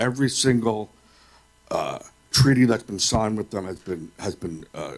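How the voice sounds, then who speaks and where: A man talks with an American accent in a plain, everyday voice. His pitch is fairly low, with ordinary pitch variation, and his pace is moderate. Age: 50s. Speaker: public commenter at school board meeting. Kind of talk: public comment.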